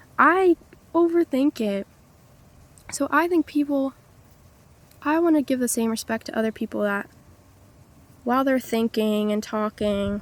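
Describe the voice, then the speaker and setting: Soft-spoken and high-pitched, a woman talks at a moderate pace with lively intonation and long, frequent pauses, the sound dry and close with no echo. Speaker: vlogger. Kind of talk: casual monologue to camera. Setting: outdoors by the ocean. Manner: soft-spoken, low volume.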